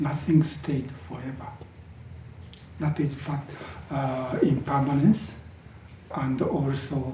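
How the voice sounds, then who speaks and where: A man talks at a very slow pace, his pitch fairly high with ordinary variation. Room echo is audible. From Japan. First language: Japanese. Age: 60s. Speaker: Zen teacher. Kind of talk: dharma talk. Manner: halting, with many fillers.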